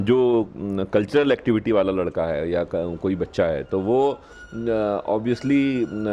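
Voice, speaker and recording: Over noticeable background noise, a man with a fairly low pitch speaks with lively intonation and hardly any pauses. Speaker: police officer. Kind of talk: interview. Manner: hesitant fillers.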